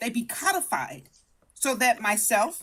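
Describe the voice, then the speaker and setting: Speaking at a fairly slow pace, a woman has a high pitch and an American accent. Her tone is animated. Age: 60s. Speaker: debate show participant. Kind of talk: heated debate. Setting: live stream. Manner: formal.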